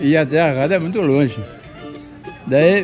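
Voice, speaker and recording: Music plays in the background as a man talks at a fairly slow pace. His intonation is lively. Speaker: choro musician. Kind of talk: interview answer. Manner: casual storytelling.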